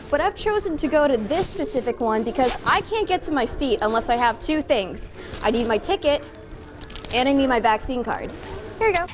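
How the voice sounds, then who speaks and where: Over music in the background, a woman with a high, upbeat voice talks at a fairly quick pace with very wide pitch swings. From Boston. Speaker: TV news reporter. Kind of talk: live on-location stand-up, casual.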